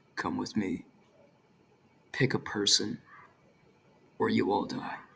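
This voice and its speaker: This man uses a put-on character voice. His delivery moves at a fairly slow pace. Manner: menacing.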